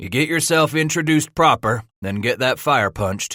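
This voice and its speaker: Using a put-on character voice, a man speaks at a moderate pace with a fairly high pitch and lively intonation. The recording is very clean with a silent background and a dry, close sound with no echo. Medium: read story. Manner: gruff, profane, authoritative.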